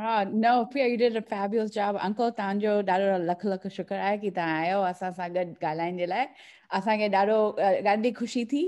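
A woman speaks at a fairly quick pace with fairly even intonation and very even loudness. The background is quiet. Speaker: audience participant; event host or participant. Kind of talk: casual chat. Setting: video call. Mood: warm, grateful. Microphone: video call.

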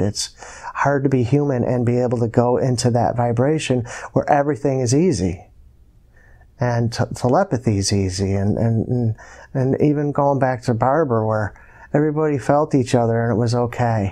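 In an American accent, a man with a medium pitch and a dark, mellow tone talks at a moderate pace over a quiet background. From US, Buffalo New York area; New York. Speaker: hypnosis client. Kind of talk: hypnosis session narration. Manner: halting. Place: home room.

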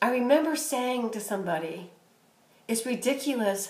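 A woman at a moderate pace with audible room echo. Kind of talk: casual vlog chat. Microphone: phone near.

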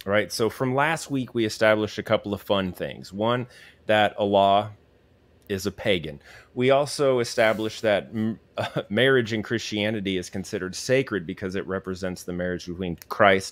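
This is an ordinary speaking voice at a moderate pace, with ordinary pitch variation and a dry sound with no echo. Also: man, fairly low pitch for a man. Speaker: livestream host. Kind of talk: lecture-style commentary. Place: home room. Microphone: studio mic.

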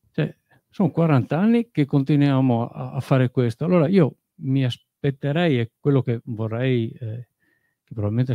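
Against a quiet background, a man talks at a moderate pace with lively intonation and a dark, mellow tone in a dry sound with no echo. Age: 40s. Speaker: audience member. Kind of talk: audience question. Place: hall.

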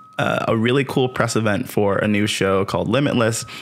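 With an American accent, a man speaks at a moderate pace in a fairly low pitch with ordinary pitch variation. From upstate New York. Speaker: podcast host. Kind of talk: interview, casual chat. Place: home room. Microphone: studio mic.

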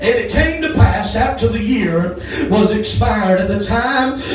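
Music plays in the background and audible room echo surrounds a man who talks at a very slow pace with lively intonation. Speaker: preacher. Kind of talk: sermon. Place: church. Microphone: camera far.

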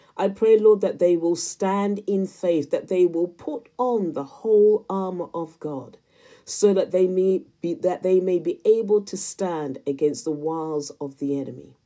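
Over a quiet background, a woman talks at a fairly slow pace in a dark, mellow tone. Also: ordinary pitch variation. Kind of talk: intercessory prayer spoken aloud for viewers, addressed to God. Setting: solo recorded video. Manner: fervent and pleading, repeatedly invoking Lord and Father God; earnest, repetitive cadence layering parallel phrases. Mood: earnest, fervent. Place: home room. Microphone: phone near.

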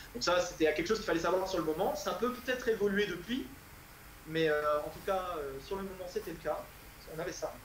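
Over light background noise and audible room echo, a man with a high pitch talks at a fairly quick pace with ordinary pitch variation and long, frequent pauses. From France. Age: 20s. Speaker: PhD student and tutor; tutor. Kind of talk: interview. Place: home room. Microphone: earbuds.

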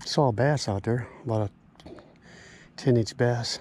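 Speaking at a fairly slow pace, a man has a medium pitch, a slightly mellow tone with a slightly husky edge, and ordinary pitch variation.

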